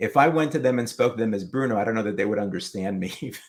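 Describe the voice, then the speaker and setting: This man's voice has a medium pitch and ordinary pitch variation. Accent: New York. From New York City, Manhattan. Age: old. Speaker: retiree, comic collector and YouTuber. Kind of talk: casual interview.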